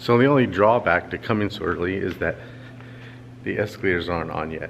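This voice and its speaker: Speaking fairly quickly with an American accent, a man uses a fairly low pitch with ordinary variation. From Los Angeles. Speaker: cartoonist vlogger. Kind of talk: casual vlog. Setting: convention hall.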